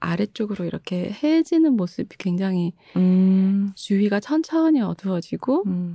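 A woman's medium-pitched, somewhat breathy voice with a dark, mellow tone, very wide pitch swings, a fairly slow pace, hardly any pauses and a dry, close sound with no echo. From Busan, South Korea. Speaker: author and translator. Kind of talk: interview conversation.

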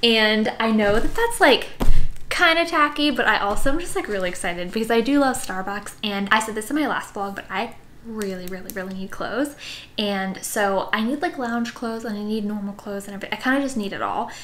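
A woman's lively intonation at a fairly quick pace. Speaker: vlogger. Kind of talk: casual haul vlog chat. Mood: excited, upbeat. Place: home room.

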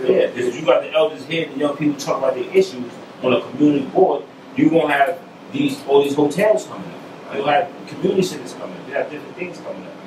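Very fast delivery in a New York accent, with big swings in loudness over noticeable background noise. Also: man. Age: 40s. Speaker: political candidate and community leader; candidate. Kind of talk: interview. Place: studio.

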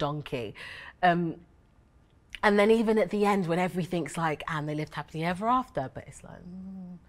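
A woman talks at a fairly quick pace. Her loudness swings widely. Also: fairly low pitch for a woman, ordinary pitch variation. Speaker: theatre artist in a panel. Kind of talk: discussion answer. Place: stage.

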